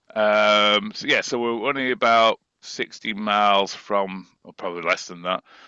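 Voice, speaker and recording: A man talks at a fairly slow pace with a northern English accent. His pitch is medium with ordinary variation. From northern England, Preston. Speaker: musician and composer. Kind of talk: interview.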